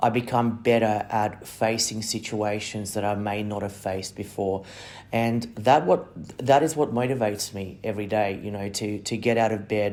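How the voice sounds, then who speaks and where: A man with an Australian accent speaks at a moderate pace in a fairly low voice. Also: fairly even intonation. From non-English-speaking country, came to Australia at ten. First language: not English. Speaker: migration agent and podcast host. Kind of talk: monologue. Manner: hesitant, many fillers and repeated words.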